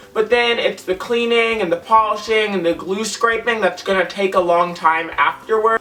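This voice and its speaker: A man speaks in a raised, projected voice, high-pitched for a man, with fairly even intonation. His moderate pace has hardly any pauses, and noticeable background noise sits behind him. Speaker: vlogger. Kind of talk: casual vlog. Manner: chatty, casual.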